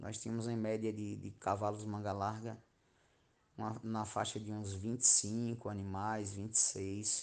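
In a quiet background, a man speaks very slowly in a fairly low, monotone voice with flat intonation. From Bahia, Brazil (Miguel Calmon). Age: 40s. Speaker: schoolteacher. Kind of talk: interview.

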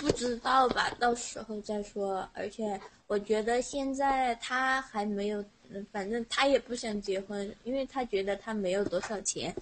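The intonation stays fairly even while the delivery moves fairly slowly. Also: woman, fairly high pitch for a woman. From Sichuan. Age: 20s. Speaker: teacher, caller. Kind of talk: casual chat.

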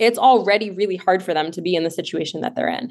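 Against a quiet background, a woman with an unremarkable speaking voice talks at a fairly quick pace, her pitch varying in an ordinary way. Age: 30s. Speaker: life coach and nonprofit founder. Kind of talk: interview.

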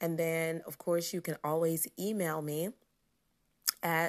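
A woman's fairly low voice at a very slow pace, in a very clean recording with a silent background. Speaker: podcast host and confidence coach. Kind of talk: casual monologue. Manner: lower and slower than usual.

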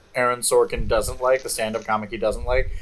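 There is noticeable noise behind this recording. The speaker is a man with an American accent. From Alaska, US (Anchorage). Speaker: podcast co-host. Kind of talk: casual chat. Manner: animated.

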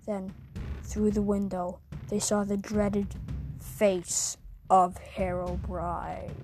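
A put-on character voice goes at a very slow pace with long, frequent pauses over clear background noise. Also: woman. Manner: creepy.

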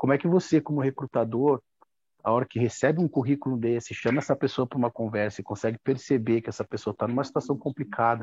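Over a quiet background, a man speaks at a very fast pace and a medium pitch. His pitch varies in an ordinary way, and the sound is dry and close with no echo. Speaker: audience participant. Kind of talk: question in a live video chat. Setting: video call. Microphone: connected by mobile phone.

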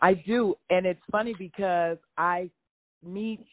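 A woman with an ordinary speaking voice, fairly low in pitch, with an American accent and fairly even intonation. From grew up moving around US and Germany, military family. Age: 60s. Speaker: former student activist, mother. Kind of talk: interview.

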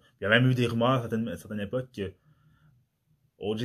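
With fairly even intonation and a fairly low pitch, a man is heard on a very clean recording against a silent background. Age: 30s. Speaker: podcast host. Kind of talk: solo monologue podcast. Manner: halting.

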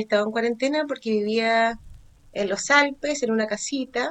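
With a Chilean accent, a woman speaks at a moderate pace in a high pitch. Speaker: podcast co-host. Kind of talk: casual chat. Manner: animated.

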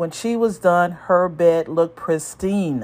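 A woman speaks at a fairly slow pace. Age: 60s. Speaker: emergency room physician. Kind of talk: scripted narration. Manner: formal.

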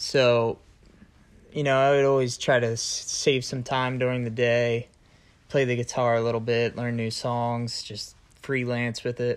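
The man's intonation is flat and monotone. He talks at a medium pitch and a fairly slow pace. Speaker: college student, host's boyfriend. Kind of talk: casual chat.

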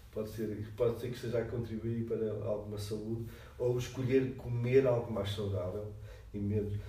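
With monotone, flat intonation, a man talks amid audible room echo. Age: 50s. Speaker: psychology professor. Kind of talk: interview.

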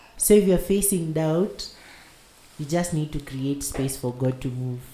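Noticeable background noise sits behind a man talking at a fairly slow pace. His pitch is fairly high, with ordinary variation. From Kenya. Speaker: podcast host. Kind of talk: casual chat.

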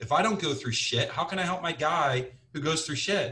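With a Midwestern American accent, a man talks in a bright, sharp tone. His intonation is lively. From US Midwest, Cincinnati, Ohio. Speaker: sales manager and business owner. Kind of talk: casual interview.

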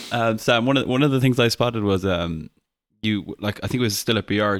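A man with an Irish accent speaks with a fairly low pitch and fairly even intonation. The sound is dry and close with no echo, on a very clean recording with a silent background. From Ireland. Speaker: podcast co-host. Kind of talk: casual chat.

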